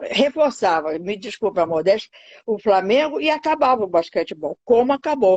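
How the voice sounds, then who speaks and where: A woman talks with very wide swings in pitch. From Brazil, Pernambuco. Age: 80s+. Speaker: retired basketball player. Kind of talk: interview. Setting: video call.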